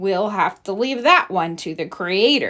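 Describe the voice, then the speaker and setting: A woman does a put-on character voice at medium pitch. Her intonation is lively and her pace moderate. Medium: read story. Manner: calm, reassuring.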